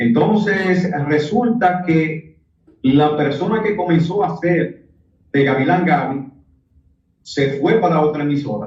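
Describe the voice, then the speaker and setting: A man's fairly high voice at a very slow pace, with ordinary pitch variation and very even loudness. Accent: Dominican. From Dominican Republic. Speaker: radio announcer. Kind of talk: interview answer.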